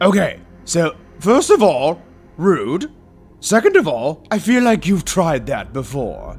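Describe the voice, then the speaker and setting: Over music in the background, a man puts on a character voice pitched high for a man, talking at a fairly slow pace. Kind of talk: ASMR roleplay story. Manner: smug, theatrical, drawling.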